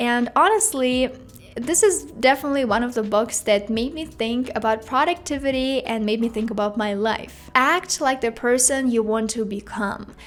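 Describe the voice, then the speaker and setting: Music plays behind a woman who speaks with a Russian accent, her voice high-pitched with ordinary pitch variation. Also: moderate pace. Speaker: YouTuber. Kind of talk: talking-head vlog.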